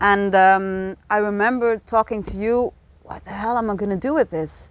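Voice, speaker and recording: A woman speaks with a Flemish Belgian accent. Her loudness swings widely. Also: medium pitch for a woman, fairly even intonation, moderate pace. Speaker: energy healing practitioner and author. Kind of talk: interview, casual chat.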